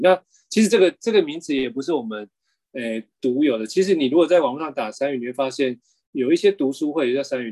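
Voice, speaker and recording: Speaking with a Taiwanese accent, a man uses lively intonation at a medium pitch in a dark, mellow tone. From Taiwan, Kaohsiung. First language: Taiwanese Hokkien (speaking Chinese). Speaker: bookshop founder and cultural policy worker. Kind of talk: interview conversation. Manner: hesitant, many fillers.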